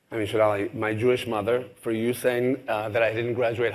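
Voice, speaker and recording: At a moderate pace, a man speaks in a medium pitch over noticeable background noise. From Israel. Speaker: investment firm CEO. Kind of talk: onstage interview. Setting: stage with audience.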